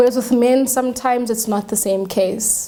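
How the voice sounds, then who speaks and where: Noticeable background noise accompanies a woman speaking in a monotone, flat intonation. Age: 20s. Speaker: young married woman, talk show guest. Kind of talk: studio talk show discussion. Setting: studio.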